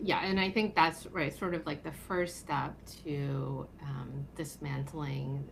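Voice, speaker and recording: A woman talks at a fairly slow pace, with audible echo from the room. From South Korea. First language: Korean. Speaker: attorney. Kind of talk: podcast interview. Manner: hesitant, many fillers.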